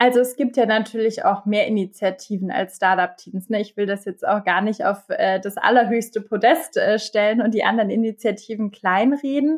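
A woman speaks at a fairly high pitch with ordinary pitch variation and hardly any pauses. She has an ordinary speaking voice. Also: moderate pace. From Bavaria, Germany. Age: 30s. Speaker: transformation manager and youth education advocate. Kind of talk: podcast interview.

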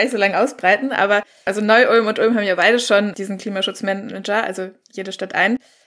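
Very fast speech from a woman, fairly high in pitch, with fairly even intonation. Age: young. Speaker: climate activist. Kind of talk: panel discussion.

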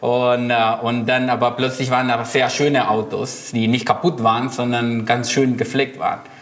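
Amid noticeable background noise, a man with a Spanish accent speaks at a medium pitch with fairly even intonation. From Argentina, Buenos Aires. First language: Spanish (speaking German). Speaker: illustrator and designer. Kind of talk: casual chat.

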